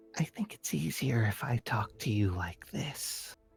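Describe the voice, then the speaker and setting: A low-pitched, put-on character voice at a moderate pace, with faint music in the background. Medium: actual play. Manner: cold, condescending.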